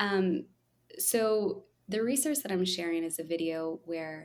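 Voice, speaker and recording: A woman speaks quietly in a calm tone at a moderate pace, with medium pitch and ordinary pitch variation. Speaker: children's musician and early childhood music educator. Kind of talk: casual interview. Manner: calm, quiet on video but extroverted in person.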